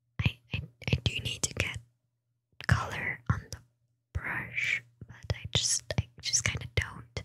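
A soft-spoken woman whispers at a very slow pace with big swings in loudness against a quiet background. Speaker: ASMR streamer. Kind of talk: soft-spoken ASMR chat. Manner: hesitant soft ASMR whisper. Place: home room. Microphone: studio mic.

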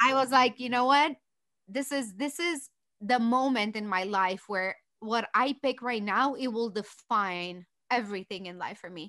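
A woman with a Romanian accent and a bright, sharp tone speaks at a fairly high pitch with ordinary pitch variation and big swings in loudness, against a quiet background. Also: moderate pace. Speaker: business founder and CEO; podcast guest. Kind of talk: podcast interview answer. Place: home room. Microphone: studio mic.

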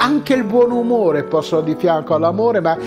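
A man is talking. Music plays clearly behind him. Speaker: stage actor. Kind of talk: story reading. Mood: warm, expressive, smiling. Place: home room.

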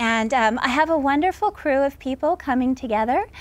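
A woman speaks at a high pitch with lively intonation. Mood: warm, enthusiastic. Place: garden.

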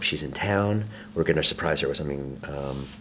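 A man's very deep, low voice over light background noise. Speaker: vlogger. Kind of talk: casual vlog chat.

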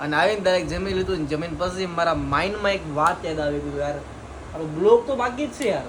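A man's high-pitched voice with lively intonation, audible room echo and noticeable background noise. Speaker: vlogger. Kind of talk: casual vlog narration.

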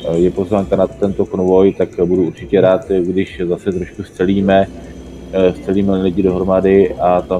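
A man speaks at a moderate pace with a very deep, low pitch and fairly even intonation. Noticeable background noise is present. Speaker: online gamer. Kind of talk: casual gaming chat.

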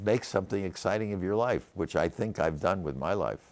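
A man's voice with vocal fry moves at a fairly quick pace. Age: 80s+. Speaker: venture capitalist. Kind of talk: interview answer. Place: studio. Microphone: lapel.

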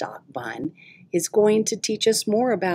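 Plain reading aloud with ordinary pitch variation.

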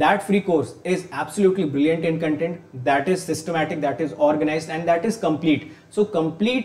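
A high-pitched man with ordinary pitch variation, amid audible room echo. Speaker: online exam teacher. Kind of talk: promotional intro to a lecture. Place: studio.

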